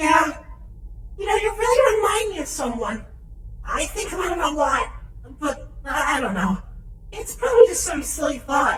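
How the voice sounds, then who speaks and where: In a put-on character voice, the speaker uses an extremely high pitch with very wide pitch swings and long, frequent pauses, over slight echo and light background noise. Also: moderate pace. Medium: audio drama.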